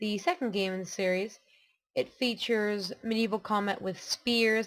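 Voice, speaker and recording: This is a woman speaking. Her pitch is medium. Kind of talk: gameplay commentary.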